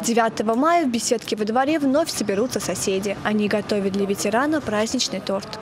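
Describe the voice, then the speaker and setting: A woman speaks at a fairly quick pace with hardly any pauses and very even loudness. Noticeable background noise is present. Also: fairly high pitch for a woman, ordinary pitch variation. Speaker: TV reporter. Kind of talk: TV news report.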